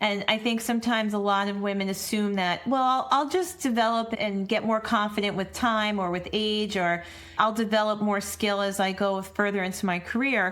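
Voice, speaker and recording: At a medium pitch, a woman talks with fairly even intonation and a moderate pace, hardly pausing. Audible room echo surrounds her voice. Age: 50s. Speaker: podcast host and women's leadership coach. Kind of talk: podcast interview conversation.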